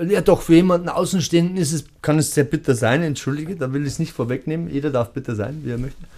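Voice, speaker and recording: Speaking at a very fast pace, a man has a fairly high pitch, ordinary pitch variation and a dark, mellow tone. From Lower Bavaria, Germany. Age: 40s. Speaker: tango event organizer. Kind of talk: interview. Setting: studio.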